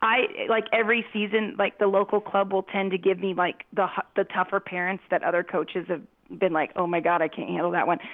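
A woman's unremarkable speaking voice at medium pitch, with a fairly quick pace and fairly even intonation. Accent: American. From US Southwest, Phoenix. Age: 40s. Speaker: parent and youth soccer coach. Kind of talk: casual chat. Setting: call.

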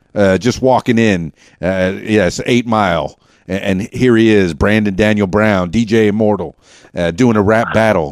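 With a Southern US accent, a man talks at a moderate pace in a fairly low pitch. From US South, Central Arkansas. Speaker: podcast host and DJ. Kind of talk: casual interview chat. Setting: studio. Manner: stutters; animated.

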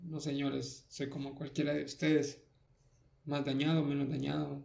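At a fairly slow pace, a man talks in a somewhat breathy, fairly high voice. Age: 20s. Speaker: podcast host. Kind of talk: personal monologue. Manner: halting.

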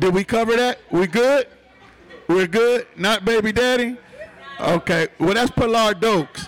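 An animated man with an American accent and a high pitch speaks at a fairly slow pace with ordinary pitch variation and long, frequent pauses, over noticeable background noise. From Detroit. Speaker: podcast host and event emcee. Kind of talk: live event hosting to an audience. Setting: live bar venue with audience. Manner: animated, hype, crowd-engaging.

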